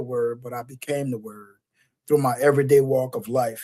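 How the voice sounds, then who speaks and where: A man with a New Orleans accent, fairly high in pitch, at a moderate pace. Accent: New Orleans Southern American. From US South, New Orleans. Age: 40s. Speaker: motivational speaker. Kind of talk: interview. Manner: passionate.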